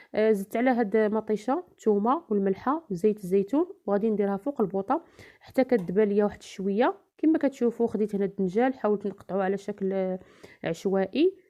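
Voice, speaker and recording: A woman talks at a moderate pace at medium pitch. Her pitch varies in an ordinary way. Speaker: home cook, cooking channel host. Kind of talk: cooking tutorial voice-over. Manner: hesitant fillers.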